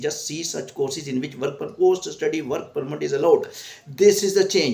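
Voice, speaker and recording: Noticeable background noise sits under a man's voice, which has ordinary pitch variation. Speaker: immigration counsellor. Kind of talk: commentary vlog. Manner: halting.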